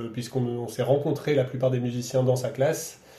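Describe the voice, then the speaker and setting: A man talks at a moderate pace in a medium pitch, his intonation flat and monotone. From France, Roanne area. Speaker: violinist and festival director. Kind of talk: radio interview. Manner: halting, many repetitions.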